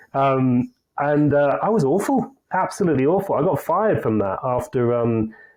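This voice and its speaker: A man with a northern English accent, a fairly high pitch, lively intonation and a moderate pace. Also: very even loudness. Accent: English (northern England). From northern England, Leeds. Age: 40s. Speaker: sales consultancy CEO. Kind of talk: podcast interview.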